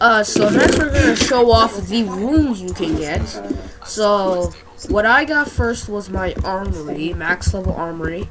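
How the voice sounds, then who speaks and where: A woman speaks at a fairly slow pace with noticeable background noise behind her. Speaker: gaming youtuber. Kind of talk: gameplay tutorial.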